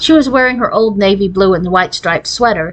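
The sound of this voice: The pitch varies in an ordinary way as an unforced voice reads.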